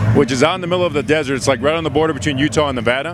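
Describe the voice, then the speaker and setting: The speaker is a man with a fairly high pitch. Noticeable background noise runs behind him. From Mexican-American. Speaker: ring announcer; former radio disc jockey. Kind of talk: casual interview answer.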